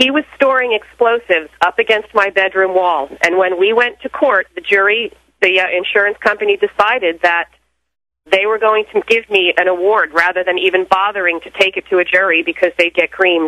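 A woman speaks fairly quickly at a medium pitch with ordinary pitch variation. It is a plain, everyday voice. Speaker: caller. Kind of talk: personal testimony. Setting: phone call.

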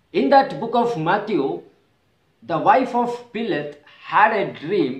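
A man speaks with lively intonation. The background is quiet, but room echo is audible. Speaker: preacher, prophet. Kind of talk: sermon. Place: home room. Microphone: phone near.

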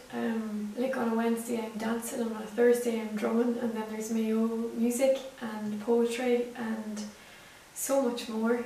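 A woman with a Northern Irish accent speaks at a fairly high pitch with monotone, flat intonation and a fairly slow pace. Audible room echo and light background noise are present. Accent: Northern Irish (Tyrone). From Northern Ireland, County Tyrone; Northern Ireland. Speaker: visual artist; interviewee. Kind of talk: to-camera monologue. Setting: home studio. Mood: warm, cheerful. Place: home room.

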